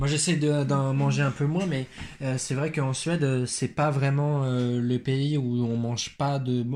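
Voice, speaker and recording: A man at a medium pitch talks at a very slow pace, his intonation fairly even. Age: 20s. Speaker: teacher and podcast co-host. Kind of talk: casual chat.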